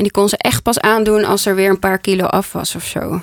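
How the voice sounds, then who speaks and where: In an unremarkable speaking voice, a woman talks at a medium pitch and moderate pace, with a dry, close sound with no echo. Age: 30s. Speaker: podcast host and decluttering coach. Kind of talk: casual chat. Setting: studio.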